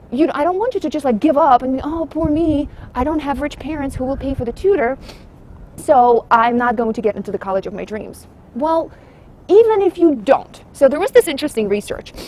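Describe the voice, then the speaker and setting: Her voice is high-pitched, and this woman speaks at a fairly quick pace with lively intonation. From abroad, immigrant to the US. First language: not English. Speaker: private test-prep tutor. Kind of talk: casual vlog commentary. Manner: animated.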